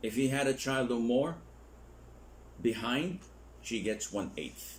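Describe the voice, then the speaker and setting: A man speaks very slowly at medium pitch with ordinary pitch variation. Audible room echo surrounds his voice. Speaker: Islamic scholar teaching a course. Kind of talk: lecture. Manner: slow, deliberate.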